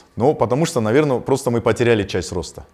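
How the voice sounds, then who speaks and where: With lively intonation, a man talks in a dark, mellow tone. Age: 40s. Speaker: business owner. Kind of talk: interview. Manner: halting.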